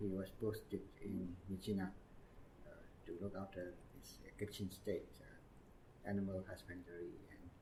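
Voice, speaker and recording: With a Burmese accent, a man speaks in a fairly low pitch and a dark, mellow tone, somewhat breathy and monotone, his loudness swinging widely amid audible room echo. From Myanmar, Yangon. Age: 60s. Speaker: retired diplomat. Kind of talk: oral history interview. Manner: halting, many fillers.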